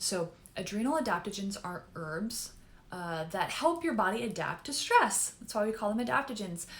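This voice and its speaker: Over noticeable background noise, a woman talks with very wide swings in pitch. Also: medium pitch for a woman, moderate pace. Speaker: naturopathic doctor. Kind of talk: educational talk.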